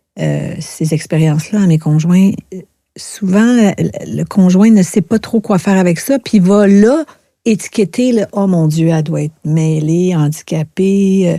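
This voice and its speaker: The woman's voice has a dark, mellow tone and medium pitch, delivered at a fairly slow pace with a dry, close sound and no echo. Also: ordinary pitch variation. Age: 60s. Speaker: author, speaker and therapist. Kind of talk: podcast interview, personal testimony. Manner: hesitant, many fillers.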